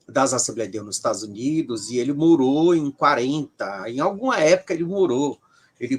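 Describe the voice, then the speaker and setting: A man's fairly high-pitched voice at a moderate pace, dry and close with no echo. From Brazil, Ceará. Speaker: professor of religious studies. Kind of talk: interview. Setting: livestream video call.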